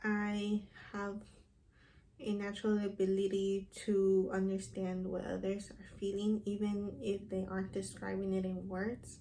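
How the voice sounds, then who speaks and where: In a Spanish accent, a woman with a dark, mellow, somewhat breathy voice speaks in a flat monotone, with audible room echo. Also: medium pitch for a woman. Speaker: counseling program applicant. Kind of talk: recorded application interview. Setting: self-recorded video. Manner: hesitant, with fillers.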